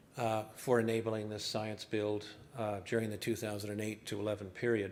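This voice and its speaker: Moderate-paced speech from a man at a medium pitch, audible room echo around it. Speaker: environmental scientist. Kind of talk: conference presentation.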